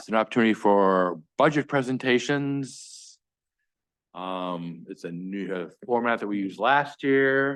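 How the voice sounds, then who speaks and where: In a normal speaking voice, a man at medium pitch speaks at a fairly slow pace with lively intonation and big swings in loudness over a quiet background. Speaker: select board chair. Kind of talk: public meeting chairing.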